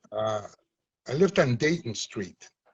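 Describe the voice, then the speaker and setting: A man's medium-pitched, somewhat breathy voice at a fairly slow pace, with lively intonation. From Chicago, US (born Puerto Rico). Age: 70s. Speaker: community activist and former movement leader. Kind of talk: interview.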